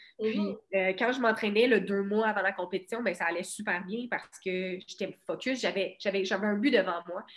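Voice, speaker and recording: Fairly even intonation at a moderate pace, with hardly any pauses. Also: woman, medium pitch for a woman. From Quebec, Bas-Saint-Laurent (Cabano). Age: 20s. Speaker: boxer. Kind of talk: casual interview.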